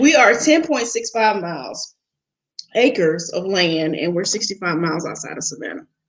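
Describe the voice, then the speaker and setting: The speaker has a Southern US accent. Pitch swings very widely. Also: woman, medium pitch for a woman, moderate pace, big swings in loudness. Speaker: logistics business owner. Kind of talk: interview. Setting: live stream.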